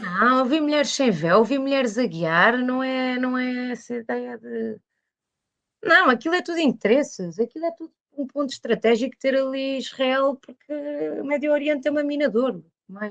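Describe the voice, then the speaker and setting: Moderate-paced, lively intonation from a woman with a high-pitched voice. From Portugal, Lisbon. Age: 20s. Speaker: painter. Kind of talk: interview conversation. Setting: podcast.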